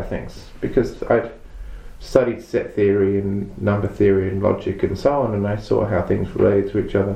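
Speech comes at a fairly quick pace. Audible room echo is present. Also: man. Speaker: database consultant and trainer. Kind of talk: interview. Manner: halting, many repetitions.

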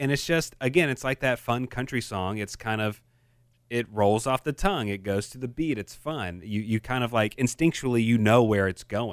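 A man talks at medium pitch and a moderate pace with ordinary pitch variation. It is a normal speaking voice, in a very clean recording with a silent background. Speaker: podcast host. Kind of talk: casual chat.

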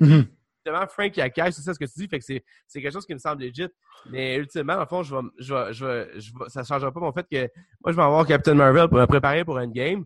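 A man with a Quebec accent talks at a very fast pace, broken by long, frequent pauses, with ordinary pitch variation and big swings in loudness. The sound is dry and close, with no echo. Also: fairly high pitch for a man. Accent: Québécois French. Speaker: podcast co-host. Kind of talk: casual chat.

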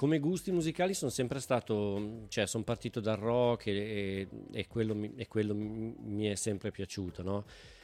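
At a moderate pace, a man with a fairly low pitch and a dark, mellow tone speaks with ordinary pitch variation. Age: 50s. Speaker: bass player and beer brewer. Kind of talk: casual chat.

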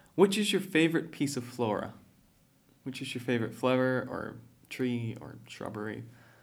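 A medium-pitched man at a moderate pace, with lively intonation, big swings in loudness, and audible room echo. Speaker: student podcast host. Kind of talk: interview.

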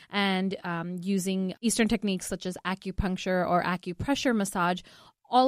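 A woman uses an ordinary speaking voice at a medium pitch and a moderate pace, with fairly even intonation. The sound is dry and close with no echo, on a very clean recording with a silent background. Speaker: nurse. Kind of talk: radio infomercial talk praising a clinic program. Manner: reassuring, friendly, sales-like.

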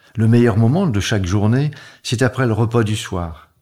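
A man speaks at medium pitch and a fairly slow pace, with ordinary pitch variation and a somewhat breathy tone. The recording is very clean, with a silent background. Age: 70s. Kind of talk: testimony.

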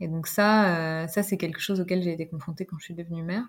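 On a very clean recording with a silent background, a woman with a fairly low pitch speaks at a fairly quick pace, somewhat breathy, with fairly even intonation. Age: 40s. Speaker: pediatric nurse and parent. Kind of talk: podcast interview. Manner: hesitant, many fillers.

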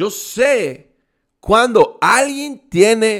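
Recorded very cleanly against a silent background, a man talks in an animated tone. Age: 20s. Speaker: network marketing leader. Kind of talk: motivational talk.

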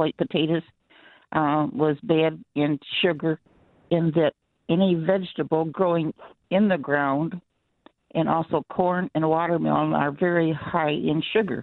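A woman with a fairly low pitch and ordinary pitch variation talks at a fairly slow pace. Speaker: caller. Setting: phone call.

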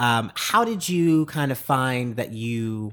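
A man speaks at a medium pitch with ordinary pitch variation, in an ordinary speaking voice. The recording is very clean with a silent background. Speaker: podcast host. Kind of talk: casual interview chat. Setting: guest's apartment.

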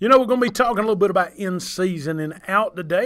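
A high-pitched man with a Southern US accent and lively intonation. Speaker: podcast host. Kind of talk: casual chat. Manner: animated.

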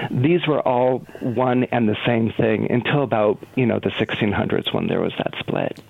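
Against noticeable background noise, a man talks at a fairly slow pace and medium pitch, with very even loudness, fairly even intonation, and hardly any pauses. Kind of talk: informative interview.

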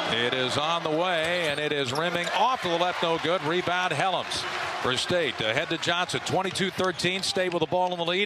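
A man speaks at a high pitch in an animated tone, with ordinary pitch variation. Noticeable background noise is present. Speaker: radio play-by-play announcer. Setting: arena broadcast, radio. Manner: fast-paced and animated, clipped play-by-play delivery that rises with big shots; fluent, steady rhythm naming players and court positions.

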